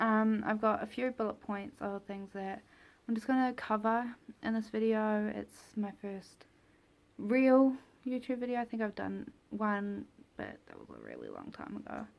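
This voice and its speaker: On a very clean recording with a silent background, a woman talks at a moderate pace with a fairly high pitch and big swings in loudness. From New Zealand, Taupo. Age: 20s. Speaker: vlogger. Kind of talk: casual vlog talk. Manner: hesitant, with many fillers.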